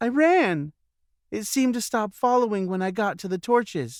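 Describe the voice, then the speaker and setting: In a very clean recording with a silent background, a man uses a put-on character voice at a high pitch and a moderate pace. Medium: read story.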